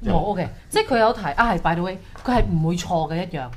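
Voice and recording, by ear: At a fast pace, a woman with a fairly low pitch speaks with lively intonation over faint background noise.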